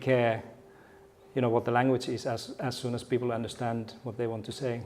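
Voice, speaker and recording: A man speaks at a fairly quick pace with a Finnish accent, his medium-pitched voice dark and mellow, his intonation flat and monotone, and audible echo fills the room. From Finland. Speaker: keynote speaker, education researcher and former teacher. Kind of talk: conference keynote talk. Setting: stage with audience. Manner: halting, with many fillers and repetitions.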